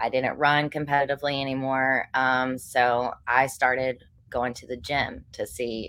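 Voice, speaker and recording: A woman speaks at a fairly slow pace with vocal fry and a very deep, low pitch. Her tone is bright and sharp. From Western North Carolina, US South. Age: 20s. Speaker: professional bodybuilding competitor. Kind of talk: casual interview.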